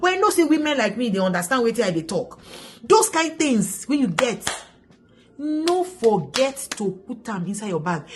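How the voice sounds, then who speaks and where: A high-pitched woman's animated voice at a moderate pace, with very wide pitch swings. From Nigeria. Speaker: vlogger. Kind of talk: casual vlog advice.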